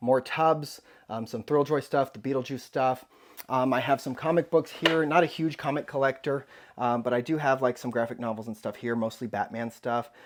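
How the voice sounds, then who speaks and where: Speaking in an ordinary speaking voice, a man talks at a moderate pace and medium pitch with fairly even intonation. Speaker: toy collector YouTuber. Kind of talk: casual vlog room tour.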